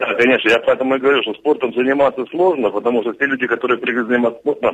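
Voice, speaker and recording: A man holds a medium pitch while talking at a very fast pace. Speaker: regional legislator and contest organiser. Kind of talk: radio interview. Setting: remote call. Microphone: dropped call.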